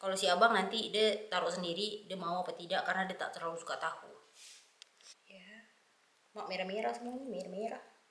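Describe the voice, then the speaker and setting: A woman talks at a very fast pace with long, frequent pauses, ordinary pitch variation, big swings in loudness and audible room echo. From Malay region of Sumatra, Indonesia (Batak). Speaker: cooking vlogger. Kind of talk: casual talk to camera. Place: home room. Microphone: phone near.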